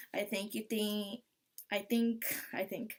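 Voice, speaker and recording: Here a woman speaks with a fairly high pitch. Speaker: soap-making YouTuber. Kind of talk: tutorial. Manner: monotone. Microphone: laptop webcam.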